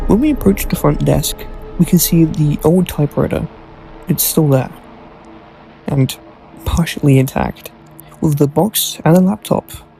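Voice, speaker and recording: Long, frequent pauses at a moderate pace, with music in the background. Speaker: gaming commentator. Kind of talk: video game commentary voiceover.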